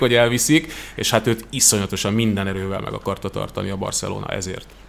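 A man talking at a very fast pace. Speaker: sports TV commentator. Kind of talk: casual chat.

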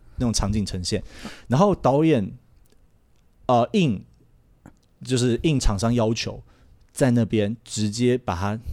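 The voice moves at a very slow pace with long, frequent pauses. The recording is very clean with a silent background. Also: man. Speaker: adult film crew member. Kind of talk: casual chat.

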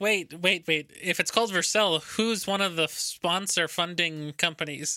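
The man's voice is high in pitch, with a bright, sharp tone and fairly even intonation. He goes at a fairly slow pace on a very clean recording with a silent background. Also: very even loudness. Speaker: podcast host, web developer. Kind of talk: casual chat.

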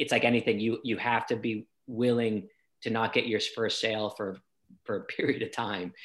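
A man with a Boston accent, medium pitch, monotone, flat intonation and moderate pace, in a very clean recording with a silent background. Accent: American, Boston area. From Boston, US. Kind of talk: casual interview chat.

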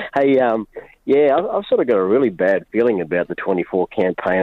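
The voice has an Australian accent and ordinary pitch variation. It moves at a fairly quick pace. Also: man. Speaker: caller. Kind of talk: call-in radio talk. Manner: halting, repeats words.

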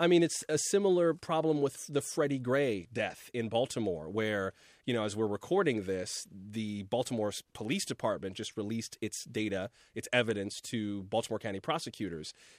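Heard against a quiet background with a dry, close sound and no echo, a man with an American accent uses lively intonation at a moderate pace and medium pitch in an unremarkable speaking voice. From South Florida. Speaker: radio newscaster. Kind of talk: casual chat.

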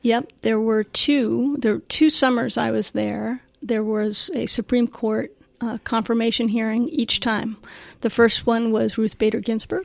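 Fairly even intonation at a fairly slow pace in a very clean recording with a silent background. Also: woman, fairly high pitch for a woman. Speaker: former homeland security adviser. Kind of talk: interview conversation. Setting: live interview at institute. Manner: soft-spoken.

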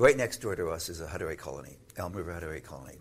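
This man sounds somewhat breathy, with ordinary variation in his pitch. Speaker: son of internment survivor. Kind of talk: interview.

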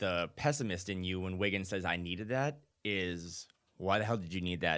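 A man speaks at a very deep, low pitch with a bright, sharp tone. The recording is very clean, with a silent background. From North Dakota. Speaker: basketball writer. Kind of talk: casual chat. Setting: studio.

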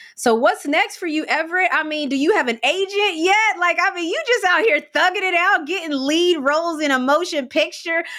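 With an American accent, a woman talks in an extremely high, bright, sharp voice, raised and projected, animated in tone and with hardly any pauses. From West Virginia. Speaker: podcast host. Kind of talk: casual interview.

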